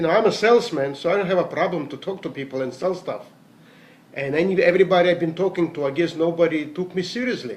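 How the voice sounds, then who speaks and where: With a high pitch and ordinary pitch variation, a man talks at a very fast pace. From Latvia (Riga), former Soviet Union. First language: Russian. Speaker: network marketing distributor, salesman. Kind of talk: motivational talk.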